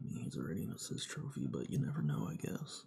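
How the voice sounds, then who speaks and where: A man speaks quietly, his pitch swinging very widely. Noticeable background noise sits behind him. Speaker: gaming streamer. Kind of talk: live stream reaction. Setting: home live stream, no webcam.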